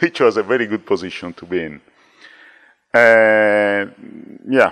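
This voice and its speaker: A man with an Italian accent and a fairly low pitch, at a fairly slow pace, with ordinary pitch variation and big swings in loudness. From Italy. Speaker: former conference chair. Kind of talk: casual chat.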